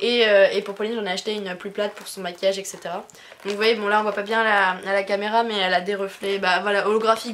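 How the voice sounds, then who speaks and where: With noticeable background noise behind her, a woman talks at a medium pitch in a monotone, flat intonation. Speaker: YouTuber, craft haul vlogger. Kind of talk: casual haul vlog. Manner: fast; hesitant, many fillers.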